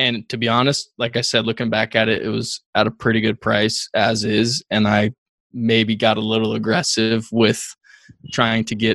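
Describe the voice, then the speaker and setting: In a plain, everyday voice, a man talks at a moderate pace and medium pitch, the sound dry and close with no echo. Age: 20s. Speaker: real estate investor and broker. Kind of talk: interview conversation.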